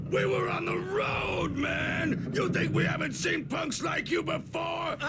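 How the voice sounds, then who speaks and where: A man shouts in a put-on character voice at a fairly slow pace. Loud noise fills the background. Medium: short film. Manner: theatrical, bombastic.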